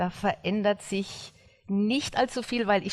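A woman uses a normal speaking voice at a medium pitch, with ordinary pitch variation and a fairly slow pace. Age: 60s. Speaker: blogger and former figure skater. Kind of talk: interview.

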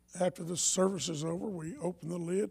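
The man's pitch is high. He speaks at a moderate pace with ordinary pitch variation. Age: 70s. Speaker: pastor. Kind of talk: sermon. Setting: church. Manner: halting.

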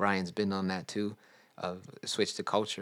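On a very clean recording with a silent background, a man with a very deep, low pitch talks at a moderate pace in a monotone, flat intonation. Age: 30s. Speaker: podcast co-host, breakdancer. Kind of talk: casual chat.

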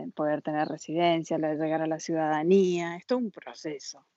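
This woman has an Argentine accent and a very deep, low pitch, with a dark, mellow tone. She speaks at a moderate pace against a quiet background. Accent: Argentine Spanish (voseo). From Argentina, San Juan. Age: 40s. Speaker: emigrant sharing her experience. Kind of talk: interview, casual conversation.

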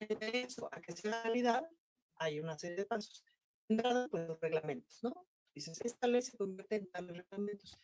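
Backed by music in the background, a woman talks at a moderate pace with lively intonation and a medium pitch. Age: 40s. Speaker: actress and political candidate. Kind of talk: interview. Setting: studio.

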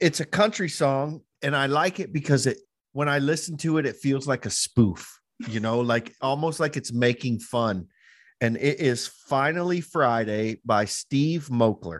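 A man's unremarkable speaking voice, fairly high in pitch, at a fairly slow pace with lively intonation against a quiet background. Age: 40s. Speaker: podcast host. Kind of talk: casual chat.

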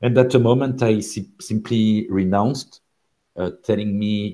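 The man's intonation is fairly even. He talks at a fairly slow pace. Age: 50s. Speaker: blockchain company CEO. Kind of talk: interview. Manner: halting.

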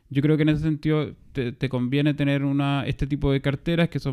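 Dark and mellow in tone, a man's fairly high voice runs at a fairly quick pace with monotone, flat intonation. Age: 30s. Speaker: finance podcast co-host. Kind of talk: casual chat.

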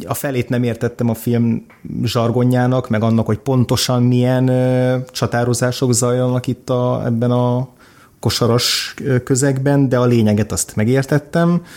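A man's dark, mellow tone, fairly slow and monotone, with flat intonation. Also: medium pitch for a man, very even loudness. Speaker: film critic. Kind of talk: casual chat about films.

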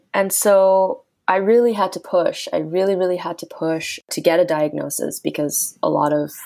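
A very clean recording of a female speaker against a silent background. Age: 20s. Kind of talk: casual interview.

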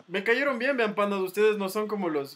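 A man rattles along at a very fast pace in a high voice with ordinary pitch variation. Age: 20s. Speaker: podcast host. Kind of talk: casual chat.

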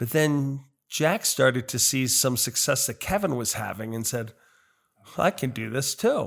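In an ordinary speaking voice, a man speaks fairly slowly at a medium pitch with ordinary pitch variation. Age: 60s. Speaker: gym member and business owner. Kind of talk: casual interview.

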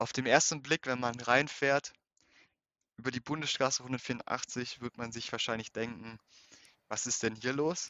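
A man speaks at a fairly slow pace and medium pitch, his intonation fairly even. He pauses often and at length. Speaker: student, youth activist. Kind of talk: interview.

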